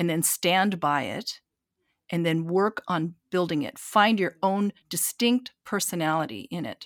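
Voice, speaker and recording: A woman with an ordinary speaking voice, a fairly low pitch, lively intonation and a fairly slow pace, in a very clean recording with a silent background and a dry, close sound with no echo. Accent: American. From eastern Washington, US. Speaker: concert pianist and entrepreneur. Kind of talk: interview.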